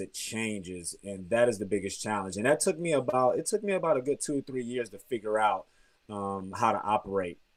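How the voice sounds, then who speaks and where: A man speaks at a moderate pace in an unremarkable speaking voice, medium in pitch with ordinary pitch variation, on a very clean recording with a silent background. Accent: American. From Texas, grew up partly in Germany. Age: 30s. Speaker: professional basketball player. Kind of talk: interview.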